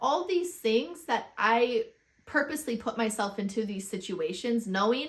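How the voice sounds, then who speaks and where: A woman speaks at a fairly slow pace in a somewhat breathy, fairly high voice. Her intonation is lively. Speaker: fitness vlogger. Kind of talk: casual vlog chat. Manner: rambling, self-interrupting.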